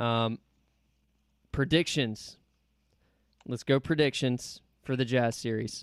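Leaving long, frequent pauses, a man speaks at a very slow pace with a medium pitch and fairly even intonation, the sound dry and close with no echo. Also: very clean recording, silent background. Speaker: podcast host. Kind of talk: casual sports podcast chat.

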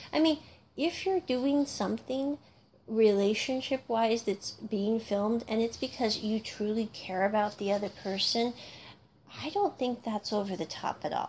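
Speaking with an American accent, a woman has a fairly high, somewhat breathy voice with ordinary pitch variation. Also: moderate pace. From North America (US or Canada). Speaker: podcast host, music reviewer. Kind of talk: solo casual commentary.

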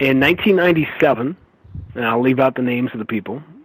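Moderately paced, this is an unremarkable speaking voice with ordinary pitch variation. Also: man. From New York. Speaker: sports play-by-play broadcaster. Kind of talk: interview.

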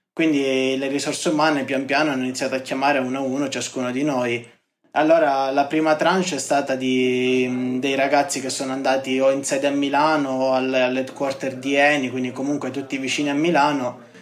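Amid audible room echo, a man of medium pitch talks at a fairly quick pace in a monotone, flat intonation. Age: 20s. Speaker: construction engineer. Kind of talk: interview testimony. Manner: halting, with frequent word repetitions.

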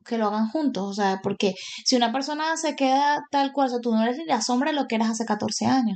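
High-pitched and fairly quick, a woman talks with ordinary pitch variation. The background is quiet. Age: 30s. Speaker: podcast co-host, mechanical engineer. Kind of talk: casual chat.

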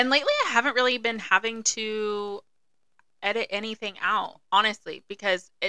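Soft-spoken yet bright and sharp in tone, the voice moves at a fairly quick pace with fairly even intonation. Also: woman. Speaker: podcast co-host. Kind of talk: casual chat.

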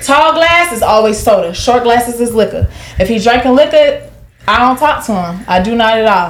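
Loud and animated, a woman with an American accent speaks at a moderate pace and high pitch over noticeable background noise. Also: lively intonation. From Jacksonville, Florida. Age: 20s. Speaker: dancer and real estate agent. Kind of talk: casual chat. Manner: loud, animated.

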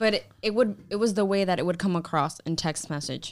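A woman with an American accent talks at a fairly quick pace in a normal speaking voice. The recording is very clean, with a silent background. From Hialeah, Florida (Cuban-born). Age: 20s. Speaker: podcast guest, expectant mother. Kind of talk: casual chat.

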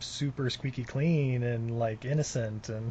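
A man's voice comes across as somewhat breathy. His intonation stays fairly even. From Utah, US. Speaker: podcast host. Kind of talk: interview.

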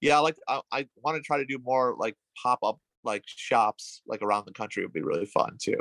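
A man talking at a fairly quick pace, the sound dry and close with no echo. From western New York (Williamson). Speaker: tattoo artist and punk musician. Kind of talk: casual interview.

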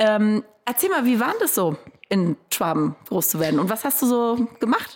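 A woman with a fairly high pitch makes very wide pitch swings while keeping her loudness very even. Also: moderate pace. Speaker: podcast host. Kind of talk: interview. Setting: studio.

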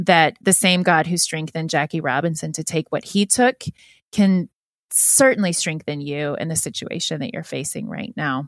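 A woman uses a normal speaking voice at a moderate pace, dry and close with no echo, in a very clean recording with a silent background. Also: fairly low pitch for a woman, ordinary pitch variation. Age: 30s. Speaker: children's book author. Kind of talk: interview.

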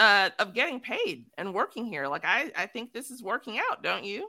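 A woman with an American accent speaks at a fairly slow pace in a bright, sharp tone, her pitch swinging very widely. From Chicago, south side. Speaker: podcast host. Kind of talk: casual chat.

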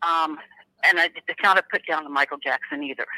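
The sound is dry and close with no echo as a woman talks at a fairly quick pace. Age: 60s. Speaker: caller sharing a sighting. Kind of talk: testimony.

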